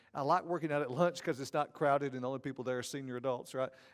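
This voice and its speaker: Here a man talks with a Southern US accent. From Georgia, US South. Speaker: seminary professor of ethics. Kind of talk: conference lecture.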